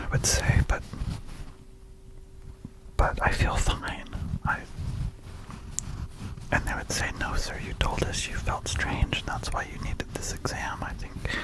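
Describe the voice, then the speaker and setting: Through noticeable background noise, a man whispers at a fairly slow pace, with big swings in loudness and long, frequent pauses. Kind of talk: ASMR whispered ramble. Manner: whispered.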